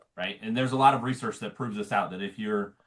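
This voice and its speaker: With an American accent, a man talks using ordinary pitch variation. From Montana. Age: 40s. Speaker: political candidate. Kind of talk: interview.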